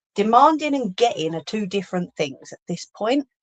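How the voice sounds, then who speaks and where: In a London accent, a woman speaks at a medium pitch with lively intonation and a playful tone. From London, England. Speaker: crafting livestreamer. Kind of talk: casual livestream chat while crafting. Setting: live stream. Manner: chatty, playful.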